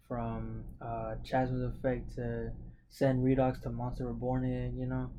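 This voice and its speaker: Male speech carrying audible echo from the room. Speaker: card game content creator. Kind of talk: tutorial. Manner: halting, many fillers and repeats; casual.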